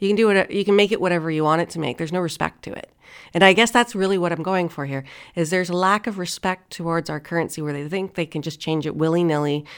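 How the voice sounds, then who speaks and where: At a very fast pace, a woman with fairly low pitch and ordinary pitch variation speaks on a very clean recording with a silent background. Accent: Canadian. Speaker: radio talk show host. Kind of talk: casual chat; scripted commentary.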